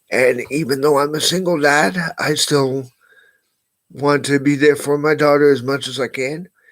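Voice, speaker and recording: With a normal speaking voice, a man talks at a moderate pace, fairly high in pitch and with fairly even intonation. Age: 60s. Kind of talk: personal monologue.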